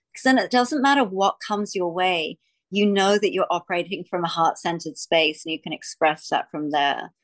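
Speaking at a moderate pace with a medium pitch and lively intonation, a woman with an Australian accent is heard against a quiet background. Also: dry, close sound with no echo. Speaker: podcast host. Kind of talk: interview conversation. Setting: video call.

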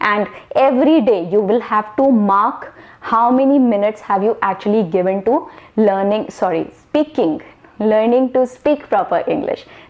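Over noticeable background noise, the speaker keeps a moderate pace, very even loudness and ordinary pitch variation. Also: woman, fairly high pitch for a woman. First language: not English. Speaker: online English communication coach. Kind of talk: tutorial. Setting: solo video to camera. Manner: fluent, without pauses.

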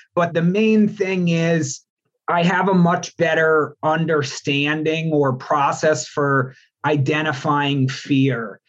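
A very slow American-accented man, fairly high in pitch, with ordinary pitch variation and very even loudness. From New York state, Albany. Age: 30s. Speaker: student and coach trainee. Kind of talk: interview, reflective personal story.

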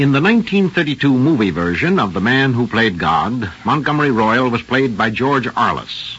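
A man at medium pitch, fairly slow with hardly any pauses, very even loudness and very wide pitch swings, over noticeable background noise. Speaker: radio drama host and narrator. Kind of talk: scripted radio narration and host intro. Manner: formal, polished, resonant, rather grand.

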